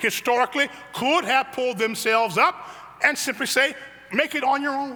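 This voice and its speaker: A man with an American accent uses a raised, projected voice at an extremely high pitch, with ordinary pitch variation. Background noise is noticeable. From US Midwest, south side of Chicago. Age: 70s. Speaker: pastor. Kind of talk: sermon.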